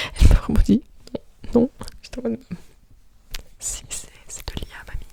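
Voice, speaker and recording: The speaker is whispering in a relaxed tone at a moderate pace. Noticeable background noise can be heard. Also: woman. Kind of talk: ASMR soft spoken chatting. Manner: soft-spoken, relaxed, casual.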